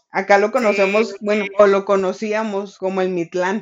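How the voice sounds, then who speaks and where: A woman's flat, monotone delivery in a Mexican accent, medium in pitch and fairly slow in pace. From Mexico, rural ranch upbringing. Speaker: literature podcast co-host. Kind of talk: casual chat about a book.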